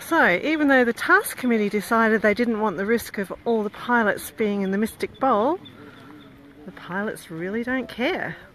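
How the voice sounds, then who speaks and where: A woman with an ordinary speaking voice, fairly high in pitch, with lively intonation at a moderate pace. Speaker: event live-streamer. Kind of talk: casual live commentary. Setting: outdoors.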